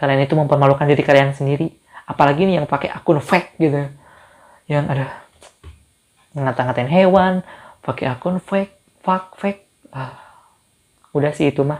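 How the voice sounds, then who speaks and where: At a fairly quick pace, a man with a fairly high pitch and ordinary pitch variation talks with long, frequent pauses. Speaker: YouTuber. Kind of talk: casual Q&A vlog.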